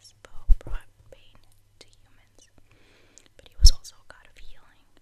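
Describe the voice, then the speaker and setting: The speaker is whispering. The pace is moderate. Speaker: ASMR creator. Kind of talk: ASMR show and tell. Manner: whispered. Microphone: studio mic.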